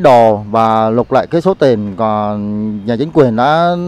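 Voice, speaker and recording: At a fairly slow pace, a man talks with very wide pitch swings, and the sound is dry with no echo. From Saigon, Vietnam. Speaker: farmer. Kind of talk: testimony. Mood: grieved, indignant. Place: garden. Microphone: handheld.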